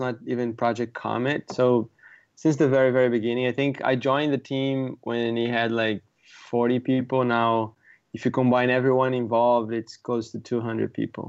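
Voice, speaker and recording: Speaking at a moderate pace, a man uses medium pitch with a Portuguese accent. The background is quiet. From Brazil. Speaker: software product manager. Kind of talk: casual interview.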